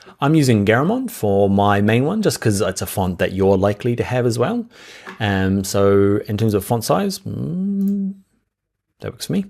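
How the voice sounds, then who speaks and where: A man with a New Zealand accent at a moderate pace. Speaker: software instructor. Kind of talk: tutorial. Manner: casual, conversational.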